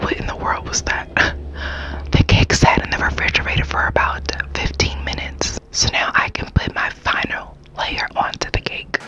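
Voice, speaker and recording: Whispering fills the clip, from a woman. The pace is moderate. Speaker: cake decorator. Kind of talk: ASMR baking talk. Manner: whispered. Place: home room.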